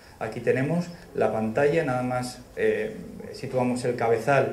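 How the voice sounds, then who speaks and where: The speaker is a man. There is audible room echo along with light background noise. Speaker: presenter. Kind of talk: lecture. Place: hall.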